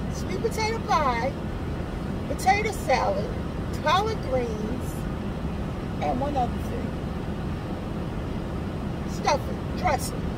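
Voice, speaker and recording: A woman at a fairly slow pace, with loud background noise and a dry sound with no echo. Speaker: vlogger. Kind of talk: casual vlog chat. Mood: relaxed, chatty. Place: car. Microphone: phone near.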